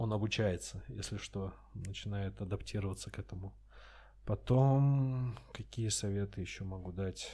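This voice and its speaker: Fairly low, dark and mellow male voice, somewhat breathy, at a moderate pace with ordinary pitch variation, on a very clean recording with a silent background. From Russia, Astrakhan. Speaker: stand-up comedian. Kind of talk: casual chat.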